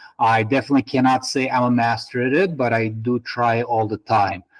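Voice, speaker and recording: The speaker is a man with a Russian accent. His voice sits at a medium pitch. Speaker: spine surgeon. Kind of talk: interview answers. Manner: halting.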